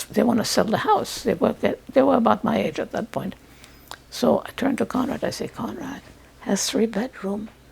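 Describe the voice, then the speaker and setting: A woman speaks at a moderate pace. There is noticeable background noise behind her. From France. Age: 80s+. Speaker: Holocaust survivor. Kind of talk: testimony.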